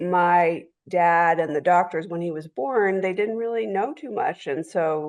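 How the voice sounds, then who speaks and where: With an ordinary speaking voice, a woman talks at a moderate pace and a fairly low pitch, with ordinary pitch variation over a quiet background. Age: 60s. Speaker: sibling of person with a rare condition. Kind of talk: personal story.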